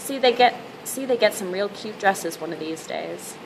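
A woman talks at a fairly quick pace while noticeable background noise carries on behind her. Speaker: reader. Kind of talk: reading aloud from a novel. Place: home room. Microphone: webcam.

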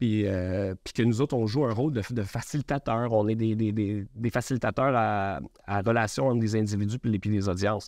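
A man with a Quebec accent speaks at a moderate pace and fairly low pitch with ordinary pitch variation, in a dry sound with no echo and a quiet background. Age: 40s. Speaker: media entrepreneur; podcast guest. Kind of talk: interview. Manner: halting. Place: studio.

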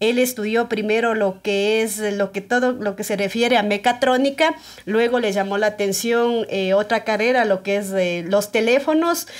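A woman with a fairly high pitch talks at a fairly slow pace. Her pitch varies in an ordinary way against a quiet background. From Ecuador, Pichincha (Guayabamba). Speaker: TikTok creator. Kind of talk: casual interview chat. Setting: studio. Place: studio.

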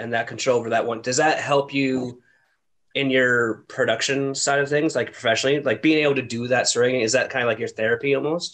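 At a fairly quick pace, a man with a Canadian accent uses a normal speaking voice at medium pitch, with ordinary pitch variation and a quiet background. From Ontario, Canada. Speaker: podcast host. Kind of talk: casual chat. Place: home room. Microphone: webcam.

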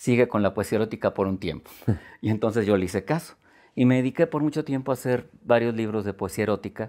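A man races along at a very fast pace in a dark, mellow tone with ordinary pitch variation, the background quiet. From Guanajuato, Mexico. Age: 50s. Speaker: poet. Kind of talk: interview. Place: studio. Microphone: lapel.

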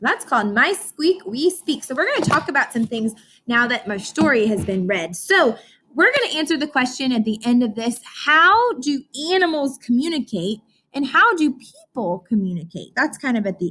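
In a raised, projected voice with a bright, sharp tone, a woman speaks at a moderate pace with very wide pitch swings. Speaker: teacher. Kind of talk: lesson for young children. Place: classroom. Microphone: webcam.

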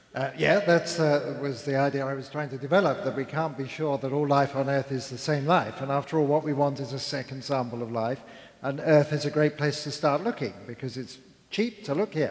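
A man speaks at a fairly quick pace, his pitch varying in an ordinary way. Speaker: panel scientist. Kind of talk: panel discussion answer. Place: stage. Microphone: headset.

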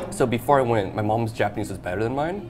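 A man speaks with ordinary pitch variation. Clear music plays in the background. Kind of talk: interview answer. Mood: upbeat, reflective. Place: cafe. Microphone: lapel.

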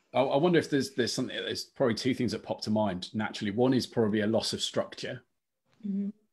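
A man with a Lancashire accent, very fast and with lively intonation. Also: quiet background. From northern England. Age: 30s. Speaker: diocesan youth adviser; youth team host. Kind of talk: casual chat. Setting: video call. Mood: warm, reflective. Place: home room.

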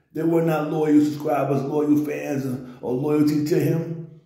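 A man talks at a fairly slow pace. The background is quiet, but room echo is audible. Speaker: online commentator. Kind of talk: commentary. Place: home room. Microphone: phone near.

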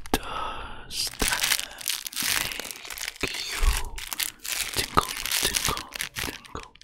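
Long, frequent pauses from a man at a very slow pace. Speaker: ASMR content creator. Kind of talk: ASMR whisper video. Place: home room. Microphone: studio mic.

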